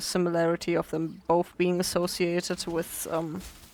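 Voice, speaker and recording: Fairly slow speech comes in a non-native accent. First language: not English. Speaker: gaming video creator. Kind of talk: let's play commentary. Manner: hesitant, many fillers.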